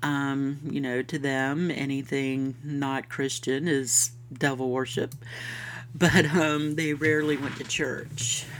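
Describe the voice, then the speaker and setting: A woman speaks in a Southern US accent with a very deep, low pitch. Her pace is very slow. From US South, Florida. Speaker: podcast host. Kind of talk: scripted-style podcast intro, casual monologue. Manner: warm, friendly, upbeat.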